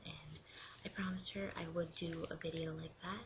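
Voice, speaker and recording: The speaker is soft-spoken, with noticeable background noise in the recording. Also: woman. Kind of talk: soft-spoken ASMR show and tell. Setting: webcam recording.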